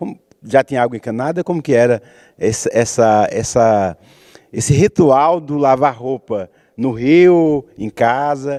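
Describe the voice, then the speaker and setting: A man with a dark, mellow tone and medium pitch speaks at a fairly slow pace with ordinary pitch variation, the sound dry and close with no echo. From Pernambuco, Brazil (Arcoverde). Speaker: TV talk show host, poet. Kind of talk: interview. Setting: theatre stage.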